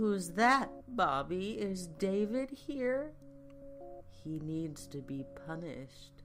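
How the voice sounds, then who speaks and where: A nasal, whiny put-on character voice crawls along at a very slow pace with long, frequent pauses over clear background noise. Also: female-sounding voice, fairly low pitch for a woman. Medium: read story. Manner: whiny, petulant, vindictive.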